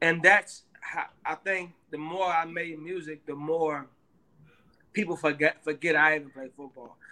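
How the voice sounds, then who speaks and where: A man talks fairly slowly in a fairly high, bright and sharp voice. His intonation is fairly even, but his loudness swings a lot. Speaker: musician. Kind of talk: interview.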